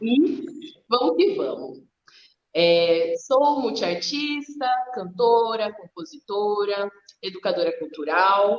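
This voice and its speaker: At a very slow pace, a medium-pitched woman speaks with very wide pitch swings and long, frequent pauses. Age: 20s. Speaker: activist and artist, live guest. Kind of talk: online live talk.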